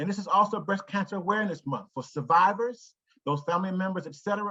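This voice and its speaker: A man's high-pitched, raised and projected voice with a bright, sharp tone and an American accent, at a very fast pace. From Ohio, US (Cleveland). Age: 60s. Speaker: foundation executive. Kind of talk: presentation to staff.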